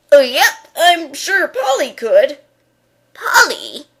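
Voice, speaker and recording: Using a put-on character voice, a woman speaks very slowly at an extremely high pitch with very wide pitch swings. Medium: stage play. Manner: hesitant, rambling, says "uh, yep".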